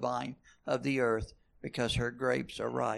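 The speaker has a plain, everyday voice at a moderate pace. The background is quiet. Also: man. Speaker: congregation member. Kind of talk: reading aloud and casual comment.

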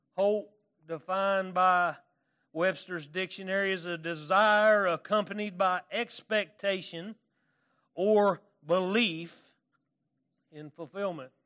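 Over a quiet background, a man with a high pitch and an Arkansas accent speaks very slowly, with long, frequent pauses. His tone is bright and sharp, his intonation fairly even, and his loudness swings widely. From California. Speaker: preacher. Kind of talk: sermon. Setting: church. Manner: halting, self-deprecating, casual.

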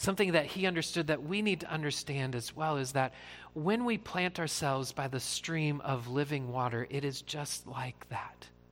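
This man has an unremarkable speaking voice with an American accent. He talks at a moderate pace and fairly high pitch, with ordinary pitch variation. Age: 40s. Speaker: pastor. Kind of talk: sermon. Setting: church.

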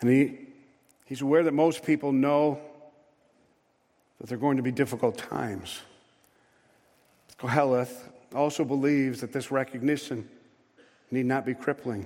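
A man with a dark, mellow tone speaks with fairly even intonation, leaving long, frequent pauses. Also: medium pitch for a man. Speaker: preacher. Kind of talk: sermon. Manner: slow.

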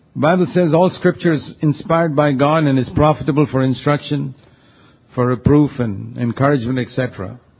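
A man's plain, everyday voice, fairly high in pitch, with ordinary pitch variation at a moderate pace. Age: 60s. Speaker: preacher. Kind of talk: sermon.

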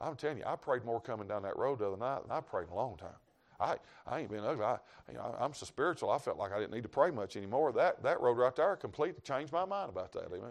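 Speaking at a very fast pace, this man uses a medium pitch and lively intonation in a Southern US accent. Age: 50s. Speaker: traveling evangelist preacher. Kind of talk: sermon. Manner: animated.

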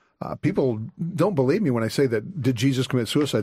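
Speaking very fast, a man uses lively intonation. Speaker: author and apologist. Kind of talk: radio call-in interview. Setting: studio.

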